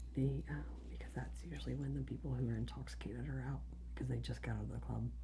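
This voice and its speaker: A soft-spoken woman talks at a very fast pace in a very deep, low voice. Her intonation is flat and monotone. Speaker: death investigator. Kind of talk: storytelling, answering interview questions, soft-spoken ASMR.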